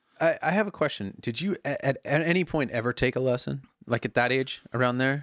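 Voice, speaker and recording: On a very clean recording with a silent background, a man with a plain, everyday voice and medium pitch sounds dry and close, with no echo. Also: ordinary pitch variation, fairly quick pace. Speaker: podcast host. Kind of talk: casual chat with ad read. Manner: casual, jokey.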